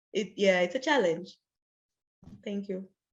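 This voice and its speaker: This woman speaks with lively intonation. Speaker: tax official on UN tax committee. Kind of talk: panel discussion. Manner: loud.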